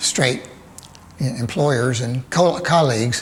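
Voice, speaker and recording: In a Southern US accent, a man talks at a very slow pace and a medium pitch. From Birmingham, Alabama. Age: 70s. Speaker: cartoonist. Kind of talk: interview answer. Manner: hesitant, thoughtful.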